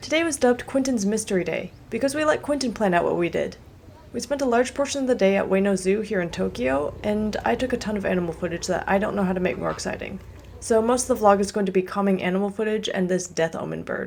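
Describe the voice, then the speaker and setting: Soft-spoken and very fast, a woman talks at a medium pitch with lively intonation over noticeable background noise. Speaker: travel vlogger. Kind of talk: scripted narration.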